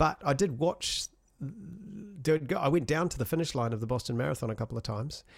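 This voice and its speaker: Somewhat breathy, the voice moves at a fairly quick pace. Its intonation is lively. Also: man, fairly high pitch for a man. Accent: New Zealand. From New Zealand. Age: 40s. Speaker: music composer and sound designer, runner. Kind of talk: casual interview chat. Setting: video call from home studio.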